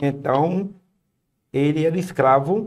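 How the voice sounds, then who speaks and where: A dark, mellow male voice with a fairly high pitch. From Brazil, Paraíba backlands (Northeast). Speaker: missionary. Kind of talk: podcast interview, testimony.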